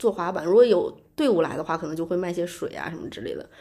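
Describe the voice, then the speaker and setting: A woman's medium-pitched voice at a very fast pace. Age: 30s. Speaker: unemployed graphic designer. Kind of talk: casual chat.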